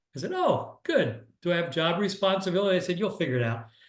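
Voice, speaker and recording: A man speaks fairly quickly with an American accent. His pitch varies in an ordinary way, and the room echo is audible. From US Northeast, Philadelphia area. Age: 60s. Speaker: business mentor. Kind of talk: online workshop presentation. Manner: casual, halting with fillers.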